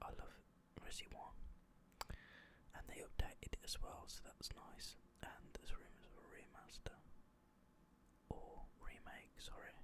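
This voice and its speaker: Whispering in a relaxed tone, the speaker leaves long, frequent pauses. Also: man. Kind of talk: ASMR whisper ramble. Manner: whispered, quiet, relaxed.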